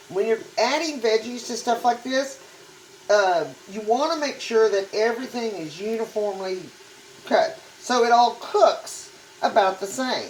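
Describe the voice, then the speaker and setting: A woman's fairly high, lively voice at a fairly slow pace amid noticeable background noise. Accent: Texan. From Texas. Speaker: cooking channel host. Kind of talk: cooking tutorial. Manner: casual, conversational.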